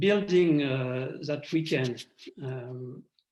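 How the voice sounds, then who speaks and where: This man speaks with a French accent. His pitch varies in an ordinary way. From France. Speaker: award recipient. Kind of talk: acceptance speech. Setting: video call. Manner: halting.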